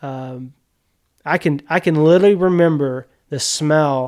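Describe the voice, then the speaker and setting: Speaking with a Mississippi accent, a man has a fairly high pitch, and the recording is very clean, with a silent background. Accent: US Southern (Mississippi). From Mississippi, Yazoo County. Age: 40s. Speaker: media producer, hunter. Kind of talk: casual interview chat. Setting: garage.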